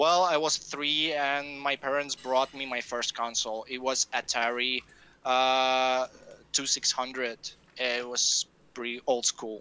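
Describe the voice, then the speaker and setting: A man talks at a fairly slow pace with a medium pitch and monotone, flat intonation. His tone is bright and sharp, and the sound is dry and close with no echo. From Russia. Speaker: game designer. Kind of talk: interview. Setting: live stream. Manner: halting, many fillers.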